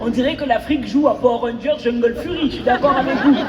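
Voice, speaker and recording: Amid crowd noise and audible room echo, a woman with a high voice speaks in an animated tone at a fairly quick pace. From Cameroonian diaspora, raised partly in Cameroon. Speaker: stand-up comedian. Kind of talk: stand-up. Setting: stage with audience.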